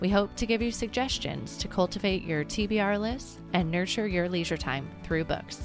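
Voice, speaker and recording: Over music in the background, a woman speaks at a moderate pace. She takes hardly any pauses. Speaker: podcast host. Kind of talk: podcast intro read.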